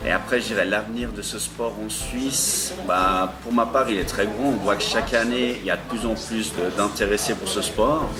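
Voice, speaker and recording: At a moderate pace with hardly any pauses, a man speaks at a medium pitch with ordinary pitch variation, with noticeable background noise and audible room echo. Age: 20s. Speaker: amateur ultra-trail runner. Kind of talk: interview answers. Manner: hesitant, many fillers.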